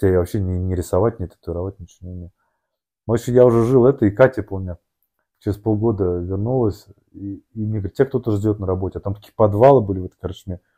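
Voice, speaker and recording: Recorded very cleanly against a silent background with a dry, close sound and no echo, a man talks at a fairly quick pace with a fairly low pitch and a dark, mellow tone. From Moscow region, Russia. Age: 30s. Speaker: amateur endurance athlete and businessman. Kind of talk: casual interview, life story. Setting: studio, sitting opposite host. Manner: halting, many fillers and restarts.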